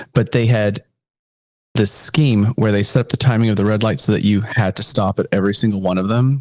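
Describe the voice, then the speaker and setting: A man with a fairly low pitch talks in an animated tone at a fairly quick pace, with ordinary pitch variation. The sound is dry and close, with no echo. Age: 40s. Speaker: podcast co-host. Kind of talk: casual chat.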